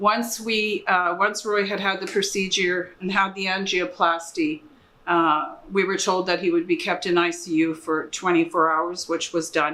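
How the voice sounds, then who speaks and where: Over noticeable background noise, a woman with a Canadian accent talks at a moderate pace in monotone, flat intonation. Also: medium pitch for a woman. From Canada. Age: 60s. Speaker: patient's wife. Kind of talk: testimony.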